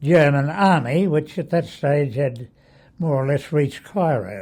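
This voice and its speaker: A man talks at a fairly slow pace, his voice somewhat breathy. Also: fairly high pitch for a man, lively intonation. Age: 80s+. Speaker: war veteran. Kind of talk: interview answer. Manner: hesitant, reminiscing.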